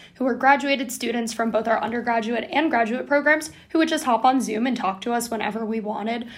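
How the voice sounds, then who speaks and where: Speaking at a very fast pace, a woman keeps a high pitch and fairly even intonation. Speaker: student podcast co-host. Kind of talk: casual chat.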